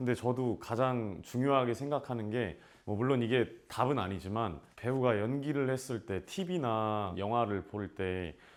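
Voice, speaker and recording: Pausing hardly at all, a man speaks at a fairly slow pace with a medium pitch and ordinary pitch variation. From South Korea, Namyangju. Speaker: actor. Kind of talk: casual Q&A talk to students. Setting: school visit with students. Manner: animated.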